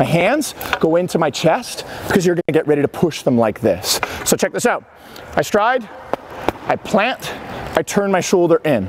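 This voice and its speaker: This man speaks at a moderate pace in a high voice with very wide pitch swings and very even loudness, taking long, frequent pauses over noticeable background noise. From Ontario, Canada. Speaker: hockey coach. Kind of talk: on-ice coaching lesson. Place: stadium.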